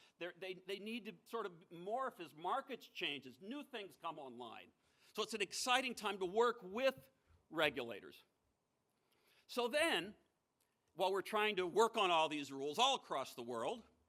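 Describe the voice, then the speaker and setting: In an American accent, a man uses a raised, projected voice at a high pitch, with a bright, sharp tone, very wide pitch swings, big swings in loudness, a moderate pace and long, frequent pauses. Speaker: former financial regulator giving a keynote speech. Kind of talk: conference keynote speech.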